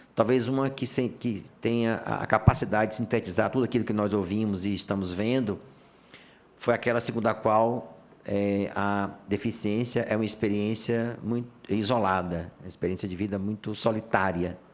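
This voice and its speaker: A man with a fairly low pitch talks in a normal speaking voice with fairly even intonation. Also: moderate pace. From Bahia, Brazilian Northeast. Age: 60s. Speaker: judge. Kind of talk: formal panel speech.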